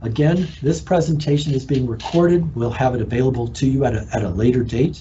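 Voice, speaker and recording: Amid audible room echo, a man with an American accent speaks at a moderate pace in a somewhat breathy, medium-pitched voice. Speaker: horticulture extension agent. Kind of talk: educational presentation. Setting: live online broadcast.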